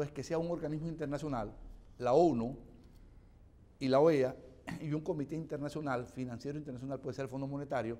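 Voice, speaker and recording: Using a dark, mellow tone and fairly even intonation, a man with a fairly high pitch speaks very fast, with long, frequent pauses. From Venezuela. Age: 60s. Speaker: economist and opposition legislator. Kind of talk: TV interview. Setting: TV studio.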